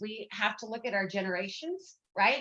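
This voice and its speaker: Here a woman speaks in an ordinary speaking voice with fairly high pitch. Her pace is moderate, and her pitch varies in an ordinary way. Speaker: essential oil coach and motivational coach. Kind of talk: live stream health talk. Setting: live stream on video call.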